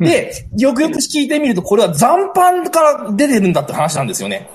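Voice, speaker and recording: The man's pitch leaps across a very wide range. He speaks very fast. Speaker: teacher. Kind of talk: book review. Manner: heated, indignant.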